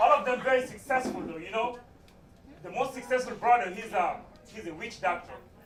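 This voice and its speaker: A man with an extremely high pitch and lively intonation talks at a fairly quick pace with long, frequent pauses and big swings in loudness, amid audible room echo and noticeable background noise. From West Africa (Niger). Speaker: stand-up comedian. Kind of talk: stand-up. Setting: stage with audience.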